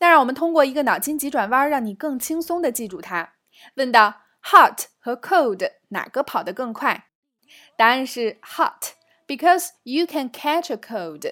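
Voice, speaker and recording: On a very clean recording with a silent background, a woman's high, bright, sharp voice is raised and projected, with lively intonation and big swings in loudness. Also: fairly slow pace. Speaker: English teacher podcast host. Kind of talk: language lesson. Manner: clear and measured.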